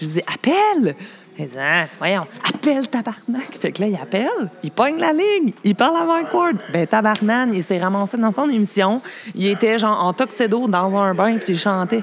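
Over noticeable background noise, a woman with a fairly high pitch talks fairly slowly, her pitch swinging very widely. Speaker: hairdresser. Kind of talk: casual chat. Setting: cabaret bar.

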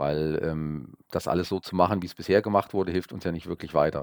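Very clean recording, silent background, and a dry, close sound with no echo. A man speaks at a moderate pace with ordinary pitch variation. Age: 50s. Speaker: local politician and market research business owner. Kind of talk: podcast interview. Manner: hesitant, many filler sounds.

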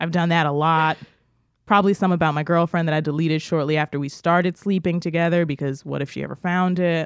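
Very fast and animated, a woman talks at a fairly low pitch. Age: 20s. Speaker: podcast co-host. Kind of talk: casual chat.

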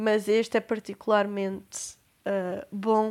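On a very clean recording with a silent background, a woman with a European Portuguese accent speaks at a very slow pace and medium pitch. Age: 20s. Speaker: podcast host. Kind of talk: casual monologue.

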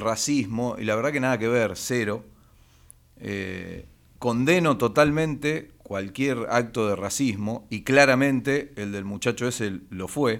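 A man with a Rioplatense accent speaks very slowly at a medium pitch, his pitch varying in an ordinary way. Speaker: sports radio host. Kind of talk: casual chat.

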